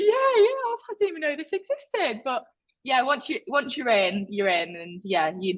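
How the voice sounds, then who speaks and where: A woman is speaking. She has an East Midlands accent. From England, Leicester (East Midlands). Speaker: artist, former competitive swimmer. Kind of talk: casual interview chat. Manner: animated, chatty with many fillers.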